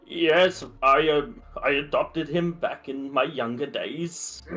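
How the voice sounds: A man puts on a character voice. It sits fairly high in pitch and moves at a fairly slow pace.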